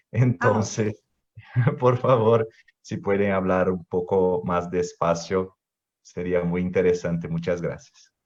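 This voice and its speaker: A man's very deep, low voice, very slow pace and fairly even intonation. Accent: Brazilian. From Brazil. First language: Portuguese (speaking Spanish). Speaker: youth panelist. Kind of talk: casual chat.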